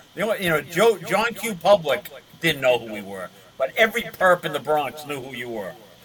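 A high-pitched man with an American accent, very wide pitch swings and a moderate pace, against noticeable background noise. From Massachusetts. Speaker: retired police sergeant. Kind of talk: casual interview storytelling. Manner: halting with many fillers.

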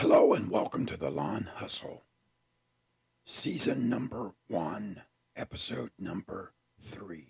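In an American accent, a man speaks very slowly at a fairly low pitch, with lively intonation, big swings in loudness and long, frequent pauses. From Indiana, US. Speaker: lawn care business owner, podcaster. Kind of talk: scripted personal story, solo podcast.

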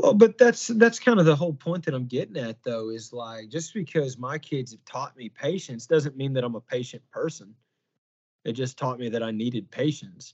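Somewhat breathy at a medium pitch, a man uses lively intonation at a moderate pace, with big swings in loudness. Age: 30s. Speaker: podcast host. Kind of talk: casual chat. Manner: halting.

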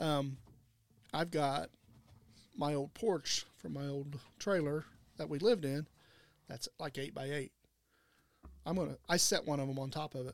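Speaking with an American accent at a moderate pace, the voice shows ordinary pitch variation and long, frequent pauses on a very clean recording with a silent background. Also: man, fairly high pitch for a man. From southern Illinois, Wayne County. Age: 50s. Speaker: land real estate agent and outdoor products seller. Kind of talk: casual chat.

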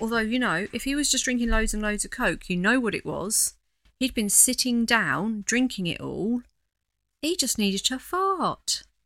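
Someone speaks with an East Anglian accent in a very clean recording with a silent background. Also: woman. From East Anglia (the Fens). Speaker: podcast host. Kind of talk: casual chat.

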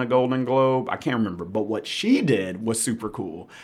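A man with an American accent, a plain, everyday voice, medium pitch, ordinary pitch variation and a moderate pace. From Memphis, Tennessee (US South). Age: 30s. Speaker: musician, trombone player. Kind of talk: casual chat.

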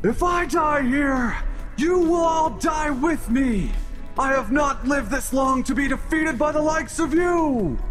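With clear music in the background, a man in a put-on character voice sounds guttural and resonant at an extremely high pitch. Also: moderate pace. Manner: menacing, threatening.

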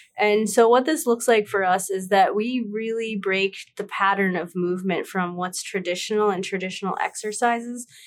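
With an ordinary speaking voice, a woman talks at a medium pitch and moderate pace, with ordinary pitch variation and hardly any pauses. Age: 30s. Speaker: startup co-founder. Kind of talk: interview.

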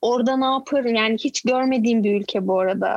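Here a woman talks with lively intonation at a moderate pace. Her pitch is fairly high. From Turkey, Izmir. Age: 30s. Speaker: YouTuber and mother living in Canada. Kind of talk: casual chat. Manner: outspoken.

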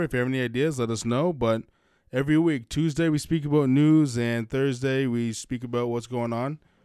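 A man has a normal speaking voice with an American accent and fairly high pitch, in a very clean recording with a silent background. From Massachusetts. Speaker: wrestling podcast host. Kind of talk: casual chat.

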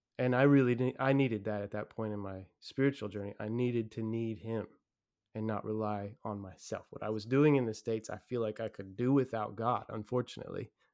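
A man speaks at a fairly quick pace in a medium-pitched voice with an American accent. His intonation stays fairly even against a quiet background. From Kentucky. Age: 40s. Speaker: missionary church planter. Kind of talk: casual interview.

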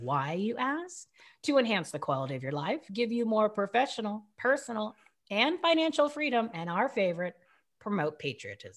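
With vocal fry and very wide pitch swings, a woman talks at a moderate pace on a very clean recording with a silent background. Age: 40s. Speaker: radio and podcast host, founder. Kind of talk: interview, casual chat. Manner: animated, upbeat.

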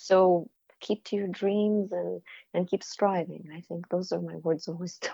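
Her tone is dark and mellow, with monotone, flat intonation. The woman talks at a fairly slow pace. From former Soviet Union. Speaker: playwright and film director. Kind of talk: interview.

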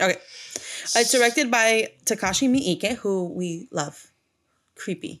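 With a plain, everyday voice, a woman speaks fairly slowly at a fairly high pitch and with lively intonation in a very clean recording with a silent background. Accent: American. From US, mostly Mexican neighborhood. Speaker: horror movie podcast co-host. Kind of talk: casual chat.

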